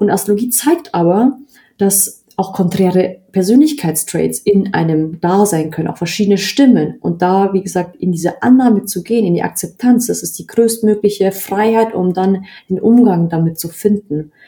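Speaking at a moderate pace with ordinary pitch variation, a woman uses an ordinary speaking voice at medium pitch. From Bavaria, Germany. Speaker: astrologer. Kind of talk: interview. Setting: video call.

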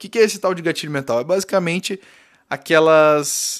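On a very clean recording with a silent background, a man talks in an unremarkable speaking voice at a moderate pace. His pitch is fairly high, with ordinary variation. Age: 20s. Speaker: podcast host, digital entrepreneur. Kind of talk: solo podcast monologue. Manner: casual, filler-heavy.

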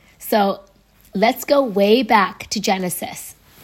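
A raspy woman's voice at medium pitch, with ordinary pitch variation

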